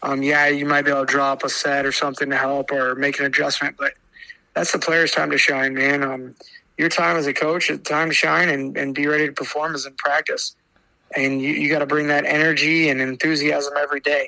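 A man talks at a fairly quick pace with fairly high pitch. His intonation stays monotone and flat. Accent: Midwestern US. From Iowa. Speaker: high school basketball coach. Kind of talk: casual interview.

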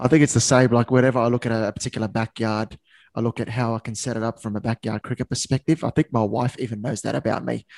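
With an Australian accent, a man talks at a very fast pace and fairly even intonation in a dry, close sound with no echo. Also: medium pitch for a man. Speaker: podcast host. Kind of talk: podcast interview.

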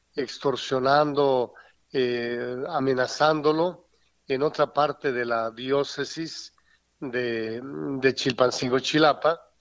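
A man talks at a very slow pace in a medium pitch. His intonation stays fairly even. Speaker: retired bishop. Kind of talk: phone interview. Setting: phone call.

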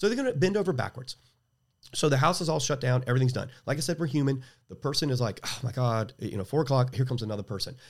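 In a very clean recording with a silent background, a man talks very fast, somewhat breathy, at a medium pitch with ordinary pitch variation. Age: 50s. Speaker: jiu-jitsu gym owner and instructor. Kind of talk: casual interview.

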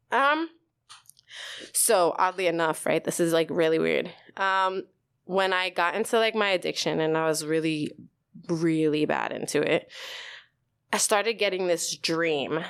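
With a New York accent, the speech is fairly slow with long, frequent pauses and very even loudness. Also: woman, fairly low pitch for a woman, ordinary pitch variation. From New York, the Bronx. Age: 30s. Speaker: actor and writer. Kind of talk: casual chat; testimony.

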